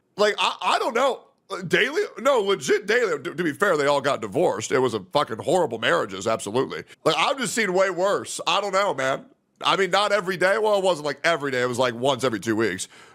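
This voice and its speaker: Loud and animated, a man with a high, bright, sharp voice races along at a very fast pace with very wide pitch swings. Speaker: streamer. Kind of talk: casual reaction stream commentary.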